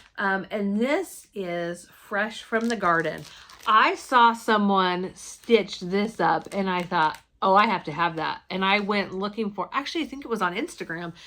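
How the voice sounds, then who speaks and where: On a very clean recording with a silent background, a woman speaks at a medium pitch with a bright, sharp, animated tone. Her pace is fairly slow and her pitch variation ordinary. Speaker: cross stitch video blogger. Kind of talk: casual haul chat.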